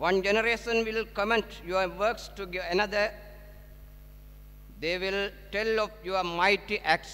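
In a raised, projected voice with a bright, sharp tone, a man speaks fairly slowly in a monotone, flat intonation. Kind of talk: prayer and scripture reading. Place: hall. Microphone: podium.

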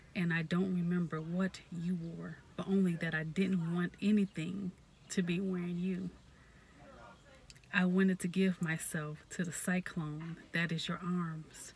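A somewhat breathy woman's voice, fairly low in pitch, with monotone, flat intonation and a dry sound with no echo. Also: fairly slow pace. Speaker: poetry reader, ASMR creator. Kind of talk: poetry reading. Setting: outdoors in a parked car, with background noise. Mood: warm, smiling. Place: car. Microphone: phone near.

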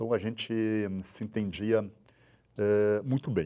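A man's dark, mellow tone over a quiet background. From Rio Grande do Sul, Brazil. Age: 60s. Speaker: businessman, father of a crash victim; interviewee. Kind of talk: testimony. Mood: somber, emotional recollection. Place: studio. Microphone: lapel.

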